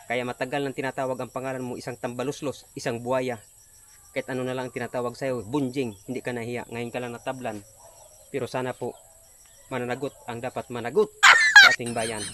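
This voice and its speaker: A man's monotone, flat intonation at a fairly quick pace. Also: medium pitch for a man. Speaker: rally speaker. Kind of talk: rally speech. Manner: loud, fiery, declamatory.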